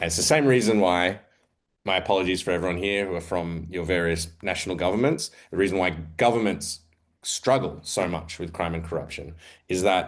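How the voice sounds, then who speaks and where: This is a man with an Australian accent. His pitch varies in an ordinary way. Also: fairly quick pace. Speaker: investigative journalist, editor. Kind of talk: panel presentation. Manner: hesitant, many fillers.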